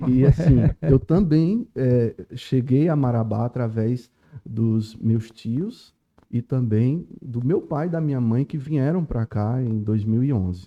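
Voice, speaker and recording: A man at a very slow pace, medium in pitch, with ordinary pitch variation. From Pernambuco backlands, northeast Brazil. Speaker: lawyer. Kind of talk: podcast interview.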